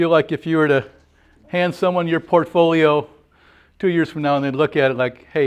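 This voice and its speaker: A man's fairly high voice with ordinary pitch variation against a quiet background. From Wisconsin. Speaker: workshop leader. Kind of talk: group discussion.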